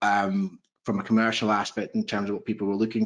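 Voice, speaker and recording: A man speaks at a very fast pace with a Scottish accent. His pitch is fairly low and his intonation monotone and flat. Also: quiet background. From Scotland. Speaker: proptech investor, former accountant. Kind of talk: panel interview on video call.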